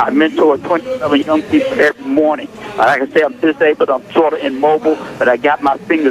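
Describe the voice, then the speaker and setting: A man's fairly high voice at a very fast pace, with lively intonation and noticeable background noise. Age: 60s. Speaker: caller, pastor. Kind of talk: impassioned call-in comment. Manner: halting, repeating words.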